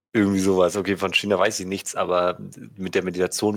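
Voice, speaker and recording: A man's very deep, low-pitched voice at a fairly quick pace, on a very clean recording with a silent background. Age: 20s. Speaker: podcast co-host, philosophy student. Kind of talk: casual chat.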